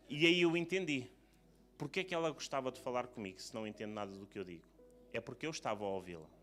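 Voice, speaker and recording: Music plays in the background as a man with medium pitch talks at a very fast pace, his pitch swinging very widely. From Portugal. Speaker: preacher. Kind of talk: sermon. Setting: church service.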